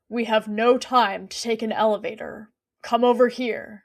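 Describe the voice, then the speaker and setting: Using a put-on character voice, a woman speaks at a moderate pace in a fairly high pitch, raspy and monotone with flat intonation. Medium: read story. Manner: formal, clipped, coolly polite.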